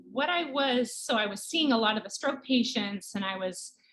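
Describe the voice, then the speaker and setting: A woman with a slight Canadian accent, lively intonation and a fairly slow pace. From Canada. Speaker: pediatric neurologist. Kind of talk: interview.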